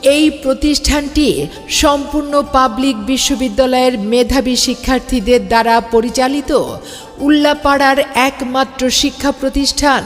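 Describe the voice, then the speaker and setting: Monotone, flat intonation at a very even loudness, with music in the background. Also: woman, high pitch for a woman. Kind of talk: promotional miking announcement.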